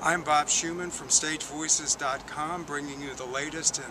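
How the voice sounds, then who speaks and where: A man speaks with fairly even intonation. Noticeable noise sits in the background. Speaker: theater reviewer. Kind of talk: spoken review to camera. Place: waterside. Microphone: phone near.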